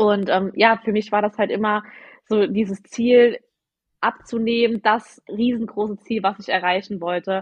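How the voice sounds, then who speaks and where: A woman speaks at a fairly high pitch and a fairly slow pace. Her intonation stays monotone and flat. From Saarland, Germany. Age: 20s. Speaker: health coach. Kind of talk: podcast interview. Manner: casual, many fillers.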